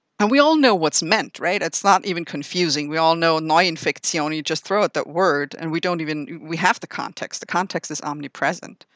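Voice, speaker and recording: A woman in a German accent, fairly low in pitch with ordinary pitch variation, moving at a fairly quick pace with hardly any pauses against a quiet background. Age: 40s. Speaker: linguistics professor. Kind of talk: interview.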